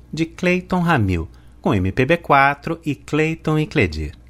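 A man's very slow speech with very wide pitch swings, very clean recording and silent background. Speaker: radio presenter. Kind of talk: radio music program presenting.

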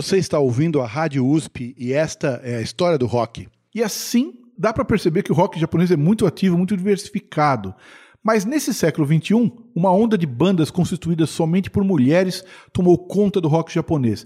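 A man's high-pitched voice with a dark, mellow tone, moderate pace and lively intonation, in a dry, close recording with no echo. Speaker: radio host. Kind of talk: radio show presentation. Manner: casual.

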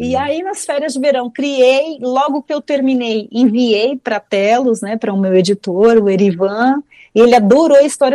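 A woman's high, lively voice with a dark, mellow tone, at a moderate pace, in a dry, close recording with no echo. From Brazil, São Paulo. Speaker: oral storyteller and author. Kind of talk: interview.

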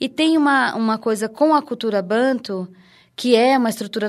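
A plain, everyday voice from a woman, fairly high in pitch, with ordinary pitch variation on a very clean recording over a silent background. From Recife, Pernambuco, Brazil. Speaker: researcher, actress and dancer. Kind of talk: interview.

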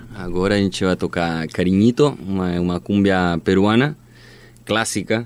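A man speaks in a very deep, low pitch with a Spanish accent and ordinary pitch variation. The recording is very clean against a silent background. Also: moderate pace. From Chile, Magallanes. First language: Spanish (speaking Portuguese). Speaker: band singer and guitarist. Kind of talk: interview.

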